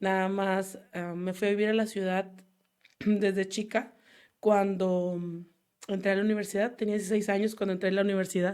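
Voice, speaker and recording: A woman with a medium pitch speaks at a moderate pace in a monotone, flat intonation, with long, frequent pauses. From Mexico, Baja California (Mexicali valley). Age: 30s. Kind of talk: casual interview. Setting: studio.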